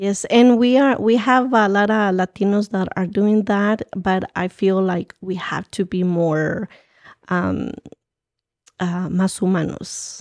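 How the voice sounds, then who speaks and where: A woman in a Guatemalan accent, medium pitch, fairly even intonation, a very slow pace, and a dry, close sound with no echo. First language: Spanish. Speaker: community organizer. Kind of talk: interview. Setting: studio.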